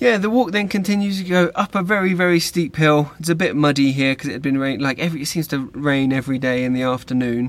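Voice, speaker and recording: A man's fairly high pitch in an English accent, very fast and lively, with hardly any pauses. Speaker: podcast host. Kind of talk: casual chat.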